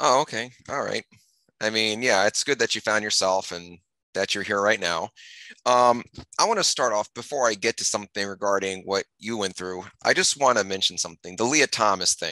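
With ordinary pitch variation and a moderate pace, a man speaks fairly low for a man in a bright, sharp tone, the sound dry and close with no echo.

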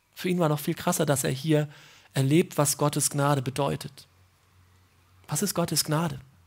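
A woman with a very deep, low pitch and a warm tone speaks at a moderate pace, using ordinary pitch variation and long, frequent pauses. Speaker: preacher. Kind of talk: sermon in church, explaining a Bible passage. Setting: church. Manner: warm, conversational, earnest; emphatic, repeating key phrases. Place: open country.

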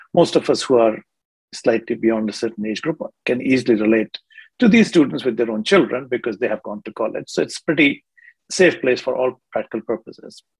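At a fairly quick pace, a man with a medium pitch speaks with lively intonation, vocal fry and a slightly husky edge.

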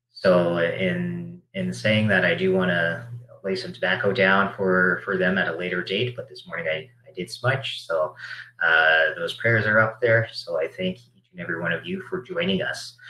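A man with a Canadian accent at a moderate pace, big swings in loudness, and audible room echo. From Alberta, Canada. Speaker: panel moderator and community organizer. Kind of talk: panel discussion. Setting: video call. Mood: warm, smiling. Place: office. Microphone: earbuds.

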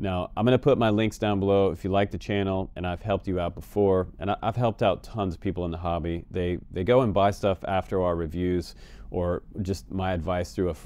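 Dry and echo-free, a man's very deep, dark, mellow voice moves at a fairly quick pace with fairly even intonation. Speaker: FPV drone service host. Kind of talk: casual advice vlog. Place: home room.

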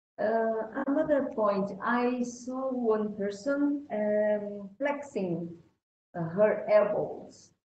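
Amid light background noise and audible room echo, a woman with a Portuguese accent and a fairly high, somewhat breathy voice speaks very slowly with ordinary pitch variation. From Brazil. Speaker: event host. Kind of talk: live interview; interview question. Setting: video call. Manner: halting. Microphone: video call.

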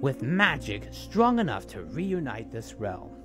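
Clear music plays in the background as a man speaks at a fairly slow pace, the sound dry with no echo. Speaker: voice actor. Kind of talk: character voice performance. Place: home room.

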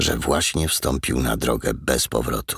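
Here a man speaks in a dramatic tone. His voice has vocal fry. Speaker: audiobook narrator. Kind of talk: audiobook reading, dramatic narration of a crime novel. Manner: dramatic, tense, suspenseful narration.

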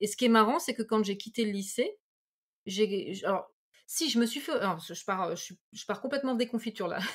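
At a moderate pace, a woman with a fairly high pitch and a somewhat breathy voice uses lively intonation and big swings in loudness, in a very clean recording with a silent background. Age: 40s. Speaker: medium. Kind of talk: casual chat.

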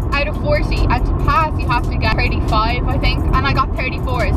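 Over loud background noise, a woman speaks at a fairly quick pace in a dry sound with no echo. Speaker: vlogger. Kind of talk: casual vlog chat. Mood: chatty, humorous storytelling. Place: car. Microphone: phone near.

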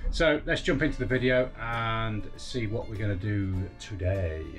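The pitch varies in an ordinary way while faint music plays in the background. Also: man. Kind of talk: casual vlog chat. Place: boat. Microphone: phone near.

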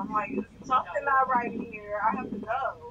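The speaker talks at a moderate pace with noticeable background noise. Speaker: podcast co-host. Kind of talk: casual chat.

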